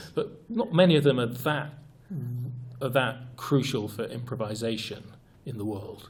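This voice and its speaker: The speech is somewhat breathy, with long, frequent pauses. It moves at a moderate pace with ordinary pitch variation. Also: man, medium pitch for a man. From United Kingdom. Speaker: improv trainer and author, guest. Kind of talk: interview answer, explaining improv training.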